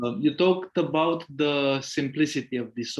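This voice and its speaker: Fairly slowly, a man talks with a non-native accent. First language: not English. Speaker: meeting participant. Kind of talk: question in group meeting. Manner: halting.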